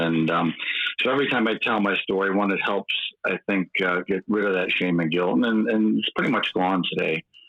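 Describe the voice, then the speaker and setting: A man with a very deep, low pitch and a Midwestern accent, fairly quick in pace, with ordinary pitch variation. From eastern Michigan, US Midwest. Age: 50s. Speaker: recovering alcoholic guest. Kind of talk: personal testimony.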